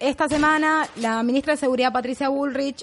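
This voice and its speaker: A woman's voice, high in pitch. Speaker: comedy show co-host. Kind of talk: satirical news commentary.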